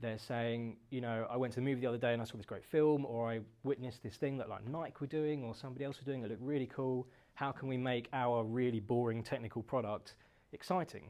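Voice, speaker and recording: With a British accent, a man speaks at a very fast pace in a medium pitch with fairly even intonation. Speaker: company founder giving a talk. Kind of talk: presentation talk.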